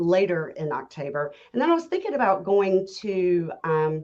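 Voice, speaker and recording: In a strong Southern accent, a woman speaks at a fairly slow pace. Her tone is dark and mellow. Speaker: realtor. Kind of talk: casual chat.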